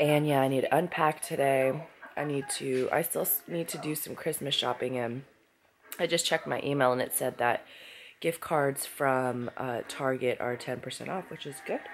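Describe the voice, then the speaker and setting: With light background noise behind her, a woman speaks at a moderate pace with a very deep, low pitch and fairly even intonation. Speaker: vlogger. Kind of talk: casual vlog chat. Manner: sick, low-energy voice from bed. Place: home room. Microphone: phone near.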